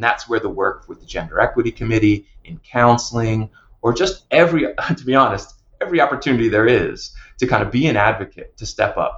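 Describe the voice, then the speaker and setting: A man talks at a fairly quick pace. He has an American accent. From New Jersey. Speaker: psychologist and university counseling director. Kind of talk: podcast interview.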